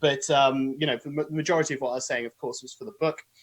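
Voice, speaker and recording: Speaking with a British accent is a man. His pitch is fairly high. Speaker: author and podcaster. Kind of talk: interview / live webinar explanation. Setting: live video stream. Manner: hesitant, many fillers.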